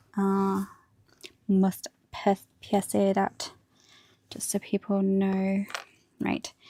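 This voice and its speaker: The speech is mumbled, with a dark, mellow tone. The sound is dry and close with no echo, on a very clean recording with a silent background. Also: woman, long, frequent pauses. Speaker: hobby streamer, miniature painter. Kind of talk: casual livestream chat while building models. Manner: mumbling.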